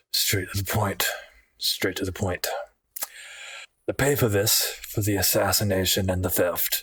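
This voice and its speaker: A man's put-on character voice, fairly low in pitch, at a moderate pace with long, frequent pauses. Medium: actual play. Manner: blunt, profane.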